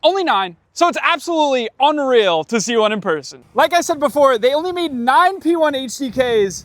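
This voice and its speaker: A man talks in an extremely high pitch with very wide pitch swings and hardly any pauses. His tone is animated and excited. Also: moderate pace. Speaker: car YouTuber. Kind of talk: vlog walkthrough at car events. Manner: animated, excited.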